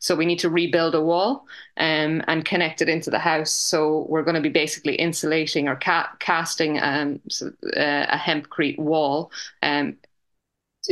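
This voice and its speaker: A woman with a very deep, low pitch speaks at a moderate pace in a monotone, flat intonation over a quiet background. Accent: Irish. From Ireland, midlands (Westmeath). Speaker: chef and food business co-founder. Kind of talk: interview conversation.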